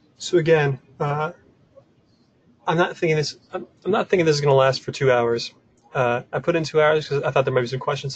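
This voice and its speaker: This man talks at a fairly quick pace with fairly even intonation. His voice is somewhat breathy. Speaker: software developer presenting a tool. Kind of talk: webinar presentation. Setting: online webinar from office desk. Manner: casual, filler-heavy.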